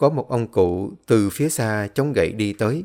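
An unforced reading voice carries the words.

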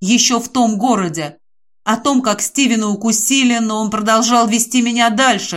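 A natural reading voice carries fairly even intonation throughout.

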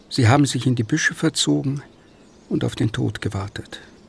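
A man puts on a character voice with vocal fry, a husky, rough edge and ordinary pitch variation. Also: medium pitch for a man, moderate pace.

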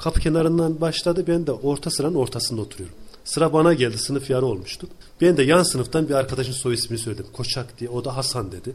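A somewhat breathy voice at a very fast pace, with ordinary pitch variation. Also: man, medium pitch for a man. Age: 40s. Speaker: hospital civil servant. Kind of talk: casual interview. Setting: his office.

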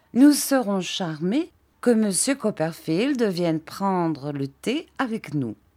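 Someone is doing plain reading aloud. Nothing more is going on.

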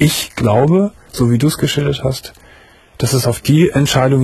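With vocal fry and a husky, rough edge, a man speaks at a fairly slow pace in a slightly mellow tone with ordinary pitch variation.

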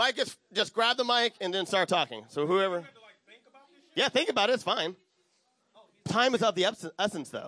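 Using a raised, projected voice with a bright, sharp tone, a man speaks high in pitch at a moderate pace, with long, frequent pauses. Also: lively intonation. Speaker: podcast host and panel moderator. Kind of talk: live convention panel moderation. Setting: convention panel room with audience. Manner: loud; halting, stumbling over words.

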